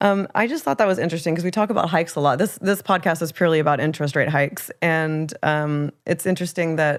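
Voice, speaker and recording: A woman with an American accent, fairly low in pitch with ordinary pitch variation, at a very fast pace with hardly any pauses. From United States. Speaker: real estate podcast co-host. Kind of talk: casual chat.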